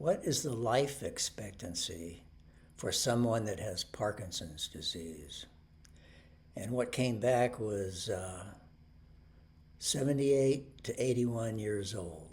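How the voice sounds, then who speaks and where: At a very slow pace with long, frequent pauses, a medium-pitched man speaks somewhat breathily with lively intonation. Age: 70s. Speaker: video blogger with Parkinson's disease. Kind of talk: personal video talk. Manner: halting, many fillers.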